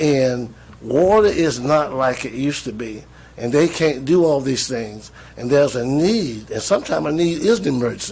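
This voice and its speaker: In a Southern US accent, a man talks at a moderate pace with fairly high pitch, and audible room echo surrounds him. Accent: Southern US (Georgia). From US South, Georgia (Jones County). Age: 60s. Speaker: retired pastor speaking at public meeting. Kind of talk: public comment at county meeting. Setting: county commission work session. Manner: earnest, repetitive.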